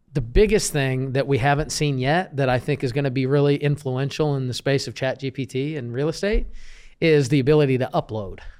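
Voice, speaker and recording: With a normal speaking voice and an American accent, a man talks at a fairly quick pace and fairly high pitch with ordinary pitch variation, in a very clean recording with a silent background. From Kansas City, US Midwest. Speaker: real estate business coach. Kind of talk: interview. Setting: studio, in person.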